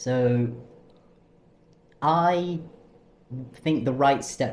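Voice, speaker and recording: Somewhat breathy, a man talks with ordinary pitch variation while audible room echo surrounds his voice. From London, England. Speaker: university student. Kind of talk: interview. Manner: hesitant, many ums.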